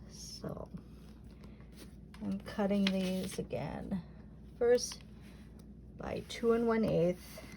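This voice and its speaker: A woman speaks at a very slow pace with long, frequent pauses over noticeable background noise. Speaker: quilting teacher. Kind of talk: tutorial. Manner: casual, chatty.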